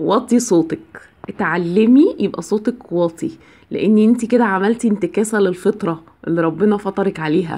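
In an Egyptian accent, a woman speaks at a medium pitch and moderate pace. Her tone is dark and mellow, with lively intonation. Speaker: biology teacher giving marriage advice. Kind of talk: advice monologue to camera. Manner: conversational, with filler sounds.

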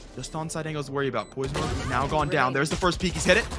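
An energetic man speaks very fast at a fairly high pitch. Music plays in the background. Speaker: esports play-by-play caster. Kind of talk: live esports match commentary. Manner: fast, energetic play-by-play delivery.

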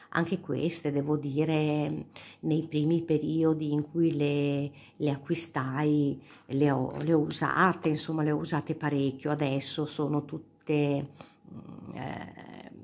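This woman's voice is very deep and low, and her intonation stays flat and monotone. She talks at a very slow pace. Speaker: cartomancer, tarot and sibyl card reader. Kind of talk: casual talk to camera, card reading. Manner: soft-spoken, calm.

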